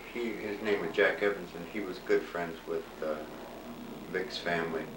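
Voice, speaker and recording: Over noticeable background noise and audible room echo, a man speaks at a moderate pace in a very deep, low voice with ordinary pitch variation. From Ontario, Canada. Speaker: family elder, retired drummer. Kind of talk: casual family interview. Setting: home recording.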